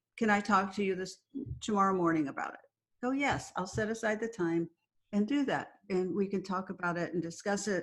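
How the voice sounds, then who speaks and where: A woman with an American accent talks at a fairly quick pace with ordinary pitch variation in an ordinary speaking voice. The background is quiet. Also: medium pitch for a woman. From Southern California. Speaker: psychiatrist and author. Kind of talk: interview.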